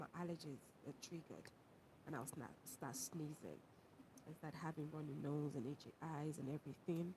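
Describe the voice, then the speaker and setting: A woman's very deep, low voice, somewhat breathy, with a dark, mellow tone, fairly even intonation and a moderate pace. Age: 30s. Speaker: university lecturer and livestreamer. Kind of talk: livestream chat reading viewer comments. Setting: live stream. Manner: casual, conversational.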